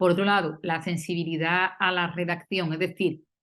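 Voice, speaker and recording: The speaker has an Andalusian accent and a moderate pace. The background is quiet. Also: woman. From Andalusia, southern Spain. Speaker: university philologist, panel speaker. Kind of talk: academic round-table talk. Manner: hesitant, many fillers.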